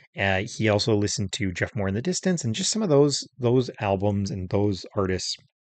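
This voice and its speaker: Against a quiet background, a man with an American accent talks at a fairly quick pace in a fairly low voice with ordinary pitch variation. It is a plain, everyday voice. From Minnesota, US Midwest. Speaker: music podcast host. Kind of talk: solo podcast talk about albums.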